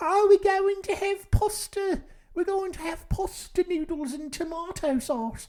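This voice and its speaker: Squeaky, extremely high put-on character voice from a woman in a British accent. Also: moderate pace, lively intonation. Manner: casual, everyday.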